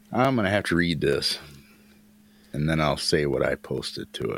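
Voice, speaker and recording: In an American accent, a man talks in an animated tone at a moderate pace. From US Midwest. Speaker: podcast co-host, former truck driver. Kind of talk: crude casual banter. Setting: online voice chat. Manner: profane, animated.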